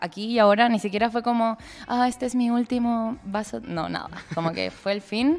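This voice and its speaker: A woman at a fairly quick pace with ordinary pitch variation, on a very clean recording with a silent background. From southern Chile (Temuco). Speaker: vegan activist. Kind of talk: casual chat.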